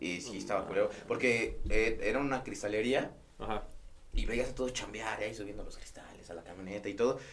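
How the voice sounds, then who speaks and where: Loudness rises and falls in big swings as a man talks at a fairly quick pace. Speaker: podcast host. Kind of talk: casual chat.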